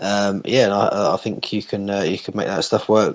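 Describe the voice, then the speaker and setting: A man with an English accent talks at a fairly quick pace. His pitch sits fairly low. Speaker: co-host. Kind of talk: casual chat.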